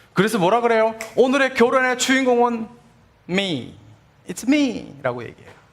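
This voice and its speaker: At a fairly slow pace, a man talks in an extremely high voice with big swings in loudness and audible room echo. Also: ordinary pitch variation. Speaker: pastor. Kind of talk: sermon.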